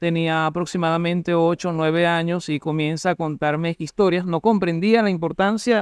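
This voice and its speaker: A man with an eastern Venezuelan accent talks at a moderate pace and a high pitch. The sound is dry and close with no echo, on a very clean recording with a silent background. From Cumaná, Venezuela. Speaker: street candy vendor and local history enthusiast. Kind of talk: interview answer. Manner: eloquent.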